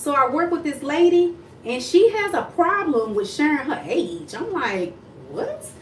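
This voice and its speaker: An animated, high-pitched woman's voice with very wide pitch swings at a fairly slow pace, amid noticeable background noise and audible room echo. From Texas, Dallas area. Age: 40s. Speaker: mindset coach. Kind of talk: casual livestream chat. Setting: self-filmed livestream on tripod.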